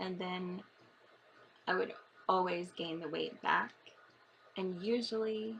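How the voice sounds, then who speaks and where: Pausing long and often, a woman talks at a fairly slow pace and medium pitch with ordinary pitch variation. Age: 40s. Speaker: vlogger. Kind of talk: personal vlog. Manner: halting.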